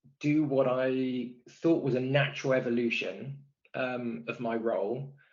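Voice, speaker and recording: A man speaks with a West Country accent. His pitch is medium. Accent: West Country twang. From Bristol, West Country England. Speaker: product and technology executive. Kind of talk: podcast interview. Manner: hesitant, many fillers and repeats.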